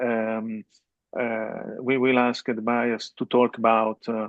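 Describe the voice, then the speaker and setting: A man with an Italian accent speaks at a very slow pace and a medium pitch. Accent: non-native English, Italian. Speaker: webinar host, business consultant. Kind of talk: business webinar presentation. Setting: online webinar. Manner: halting, many fillers.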